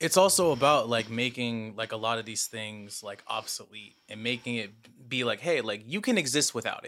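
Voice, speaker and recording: With an American accent and an ordinary speaking voice, a man talks at medium pitch with ordinary pitch variation, big swings in loudness, and hardly any pauses. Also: moderate pace. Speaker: music producer and English teacher. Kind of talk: casual chat.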